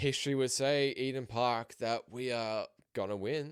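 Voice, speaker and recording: In a very clean recording with a silent background, a man with an Australian accent speaks at a moderate pace with fairly even intonation. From Australia, raised in a New Zealand family. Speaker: sports podcaster. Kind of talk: casual sports commentary podcast.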